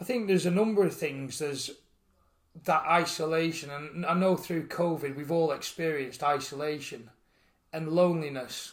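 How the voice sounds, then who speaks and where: Here a man speaks with a Yorkshire accent, his pitch fairly high. His pace is moderate and his pitch varies in an ordinary way. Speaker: farmer and charity founder. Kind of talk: interview. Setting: outdoors on a farm bench.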